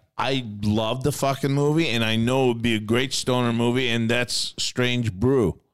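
On a very clean recording with a silent background, a man talks in an animated tone at medium pitch and a moderate pace, with very even loudness and hardly any pauses. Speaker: podcast host. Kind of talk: casual stoner banter. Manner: animated, profane.

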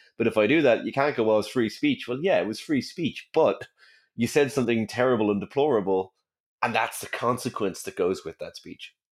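On a very clean recording with a silent background, a man with an Irish accent speaks at a fairly quick pace. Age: 30s. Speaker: science communicator and physicist. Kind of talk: interview.

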